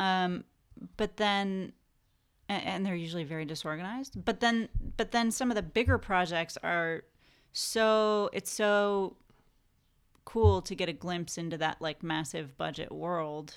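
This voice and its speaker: On a very clean recording with a silent background, a woman with a Californian accent and fairly low pitch talks at a fairly slow pace, with ordinary pitch variation and long, frequent pauses. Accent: American (Californian). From California, Santa Barbara. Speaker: film production designer. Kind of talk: casual interview chat.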